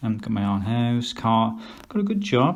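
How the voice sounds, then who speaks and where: A man speaks at medium pitch with an English Midlands accent. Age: 50s. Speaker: vlogger. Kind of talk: casual vlog monologue. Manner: hesitant, many fillers.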